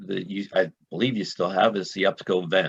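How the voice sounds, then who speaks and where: Very deep, low male voice, its intonation fairly even. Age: 60s. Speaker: gas industry business owner's son, guest. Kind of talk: casual interview. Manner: halting, many fillers and repeats. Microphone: internet connection freezing.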